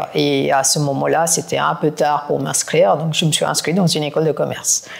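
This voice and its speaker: A woman with a very deep, low pitch for a woman and vocal fry. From India (Kolkata). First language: not French (learned it as an adult) (speaking French). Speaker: private equity executive. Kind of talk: podcast interview.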